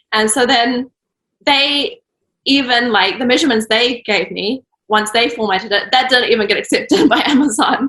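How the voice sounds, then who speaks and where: Speaking with a New Zealand accent, a woman uses a high pitch, a bright, sharp tone and ordinary pitch variation at a moderate pace. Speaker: children's book author and illustrator. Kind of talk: interview answer. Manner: casual, hesitant.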